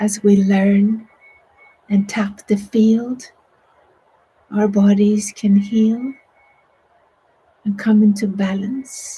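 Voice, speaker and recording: Speaking at a very slow pace, a woman leaves long, frequent pauses. Her intonation is monotone and flat. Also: medium pitch for a woman. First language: Swedish. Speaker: meditation teacher. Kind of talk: guided meditation. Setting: online broadcast.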